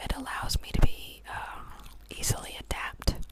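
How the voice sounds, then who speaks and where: Noticeable background noise accompanies a man who is whispering. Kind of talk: ASMR whisper Q&A chatting. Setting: studio, chewing gum near microphone. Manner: whispered, relaxing, slow.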